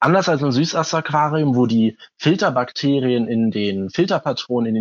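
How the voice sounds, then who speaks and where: With a plain, everyday voice, a man talks at medium pitch and a moderate pace, his pitch varying in an ordinary way. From Hamburg, northern Germany. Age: 20s. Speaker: aquarium hobbyist. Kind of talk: interview. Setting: phone call.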